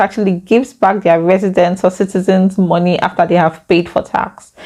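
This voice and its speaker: A woman's dark, mellow voice with a Nigerian accent. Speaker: YouTuber. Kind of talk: vlog talk to camera. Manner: fast.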